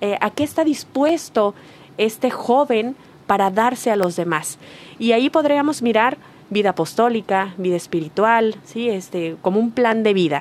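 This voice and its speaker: A woman talks at a fairly slow pace in a fairly high pitch, her loudness very even. Hers is an unremarkable speaking voice. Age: 40s. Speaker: workshop facilitator, humanities doctor. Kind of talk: radio talk show. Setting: radio studio.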